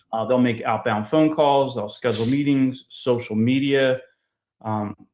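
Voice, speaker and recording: Over a quiet background, a man with a Philadelphia accent and a medium pitch talks at a fairly slow pace. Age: 40s. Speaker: loan officer and podcast host. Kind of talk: casual interview. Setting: live video show. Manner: animated.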